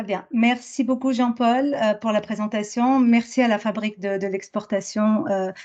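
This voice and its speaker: At a moderate pace, a woman speaks with a fairly high voice, a dark, mellow tone and fairly even intonation. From France. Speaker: business school professor. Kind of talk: academic presentation. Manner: halting, many fillers.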